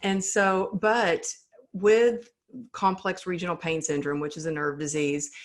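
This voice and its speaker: With a Texan accent, a woman talks at a fairly slow pace, her medium-pitched voice showing ordinary pitch variation. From Texas. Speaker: resilience speaker. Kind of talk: interview answer.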